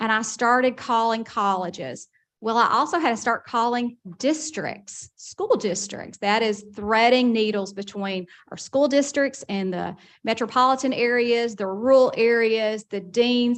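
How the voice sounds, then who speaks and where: Against a quiet background, a woman with a Southern US accent speaks fairly slowly at a fairly high pitch with ordinary pitch variation. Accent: slow Southern. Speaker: college system administrator. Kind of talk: speech at a board meeting. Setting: meeting room with audience.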